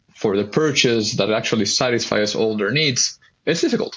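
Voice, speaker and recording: Speaking with a Spanish accent, a man keeps a fairly quick pace and ordinary pitch variation. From Mexico. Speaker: mortgage broker. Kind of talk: interview.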